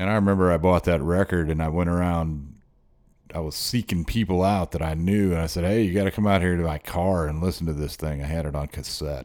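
A man with a very deep, low pitch talks at a fairly quick pace. His intonation is fairly even, and the recording is very clean with a silent background. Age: 50s. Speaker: podcast host and musician. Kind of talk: solo monologue commentary.

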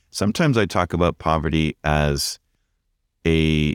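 With a Canadian accent, a man speaks at a very deep, low pitch and a fairly slow pace, with ordinary pitch variation. The sound is dry and close with no echo, on a very clean recording with a silent background. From Canada, Vancouver. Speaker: pastor. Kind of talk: interview conversation.

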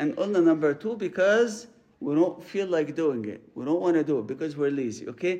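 A man with an Arabic accent speaks at a moderate pace in a high pitch. His tone is dark and mellow, and his intonation is lively. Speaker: priest. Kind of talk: sermon. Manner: halting, repeats words.

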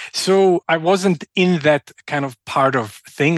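A man with a Croatian accent speaks with ordinary pitch variation, the sound dry and close with no echo. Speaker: entrepreneur and researcher. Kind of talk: interview conversation. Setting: remote call.

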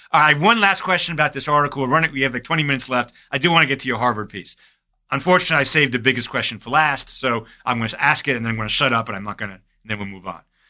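With an American accent, a man speaks at a very fast pace and medium pitch, his intonation lively and his loudness swinging widely. His tone is bright and sharp, and the recording is very clean with a silent background. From US Northeast. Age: 60s.

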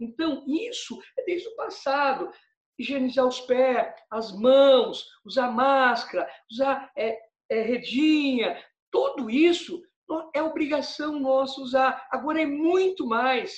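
Extremely high for a man, this male voice moves at a very slow pace with lively intonation. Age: 60s. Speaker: pizza maker and pizzeria owner. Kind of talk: interview. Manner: halting, many fillers.

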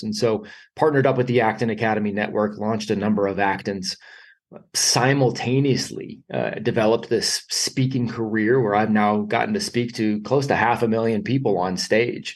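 There is audible room echo around a man with a fairly low pitch. He talks at a moderate pace with ordinary pitch variation.

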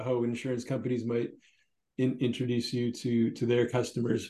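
This man has a dark, mellow tone and a medium pitch. He speaks with a Canadian accent at a fairly quick pace. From Canada. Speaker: podcast host, company CEO. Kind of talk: casual chat.

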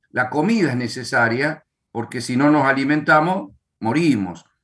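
Speaking at a fairly slow pace with an Argentine accent, a man uses a medium pitch and lively intonation. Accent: Argentine Spanish (voseo). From Argentina. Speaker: pastor and author. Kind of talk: casual chat.

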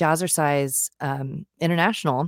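A woman speaks in a very deep, low register with a General American accent and a flat, monotone delivery. The recording is very clean, with a silent background and a dry, close sound free of echo. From US West Coast, San Diego. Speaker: singer-songwriter. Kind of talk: interview.

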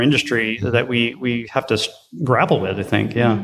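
A man talks with a medium pitch. Noticeable background noise can be heard. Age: 40s. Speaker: design director. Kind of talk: interview. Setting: conference venue.

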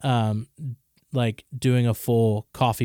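A man's medium-pitched voice at a very slow pace with monotone, flat intonation, dry and close with no echo, on a very clean recording with a silent background. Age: 30s. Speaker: coffee shop co-founder. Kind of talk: casual chat.

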